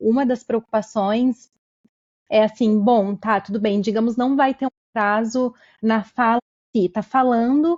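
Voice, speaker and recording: A plain, everyday voice from a woman, fairly high in pitch, fairly slow in pace, with ordinary pitch variation. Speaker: podcast host. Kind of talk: podcast interview.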